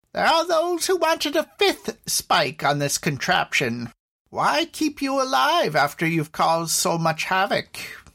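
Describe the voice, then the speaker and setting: A man does a put-on character voice at an extremely high pitch, his loudness very even, with a dry, close sound with no echo and a very clean recording with a silent background. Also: moderate pace. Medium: audio drama. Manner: cold, unhurried, condescending.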